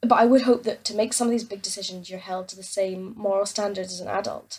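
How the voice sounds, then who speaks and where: A woman with an Aberdeen accent speaks very fast at a medium pitch. Her voice is somewhat breathy, and her intonation is fairly even. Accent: Scottish (Aberdeen). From Scotland, Aberdeen. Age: young. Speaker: listener leaving voicemail. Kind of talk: voicemail message.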